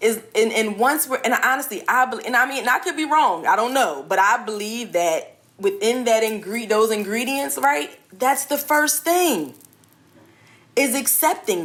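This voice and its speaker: Speaking at a moderate pace, a woman uses a high pitch with very wide pitch swings. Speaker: life coach and clothing entrepreneur. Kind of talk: interview. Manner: soft-spoken.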